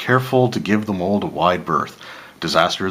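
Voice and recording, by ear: The text is read aloud in a natural voice, with ordinary pitch variation.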